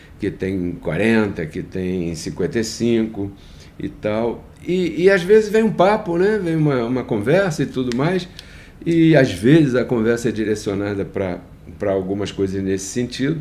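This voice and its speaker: The voice has a dark, mellow tone and very wide pitch swings. It moves at a fairly slow pace, with audible room echo. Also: man, medium pitch for a man. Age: 60s. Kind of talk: devotional talk. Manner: hesitant, repeats words.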